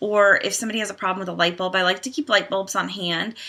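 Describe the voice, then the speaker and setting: Against a quiet background, a woman's bright, sharp tone sits at a medium pitch with ordinary pitch variation. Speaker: direct sales team leader. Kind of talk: training tutorial. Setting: home. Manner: fast. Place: home room. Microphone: webcam.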